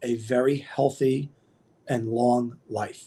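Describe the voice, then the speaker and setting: This man has a medium-pitched, dark, mellow voice and fairly even intonation. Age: 50s. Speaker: kettlebell and nutrition coach. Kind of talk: casual interview.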